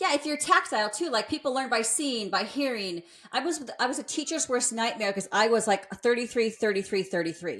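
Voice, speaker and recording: At a fairly quick pace and with hardly any pauses, a woman speaks in a fairly high voice, her tone animated and her intonation lively. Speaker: fitness coach and podcast co-host. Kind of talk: casual chat. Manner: fast.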